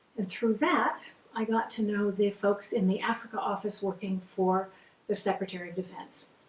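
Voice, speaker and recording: Her intonation stays fairly even at a medium pitch. This woman's voice is somewhat breathy. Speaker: former defense official and women's advocate. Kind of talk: interview. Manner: fast; intense.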